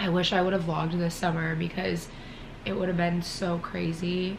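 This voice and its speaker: In a room with audible echo and noticeable background noise, a woman talks at a fairly quick pace in a fairly low pitch with monotone, flat intonation. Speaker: wellness vlogger. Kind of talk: vlog. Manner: casual.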